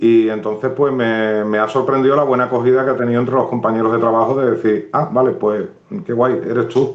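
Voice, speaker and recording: In an Andalusian accent, a man talks at a fairly quick pace and medium pitch, his loudness very even and his intonation fairly even. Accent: Cádiz. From Andalusia, San Fernando (Cádiz). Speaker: writer. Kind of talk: live interview. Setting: Instagram live video stream.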